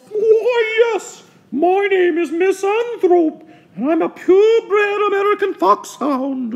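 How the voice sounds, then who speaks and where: A squeaky, put-on character voice at an extremely high pitch, with lively intonation and a fairly slow pace. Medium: comedy sketch. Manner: curt, sour.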